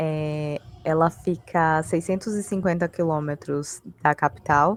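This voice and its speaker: With a very deep, low pitch and ordinary pitch variation, a woman speaks at a very slow pace. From Brazil, western Bahia. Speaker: graduate researcher presenting dissertation. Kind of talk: academic presentation. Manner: halting, many fillers.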